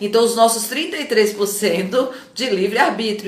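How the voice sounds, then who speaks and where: Amid noticeable background noise and audible room echo, a woman speaks at a moderate pace and a medium pitch. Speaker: coach. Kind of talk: live stream talk to viewers. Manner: animated.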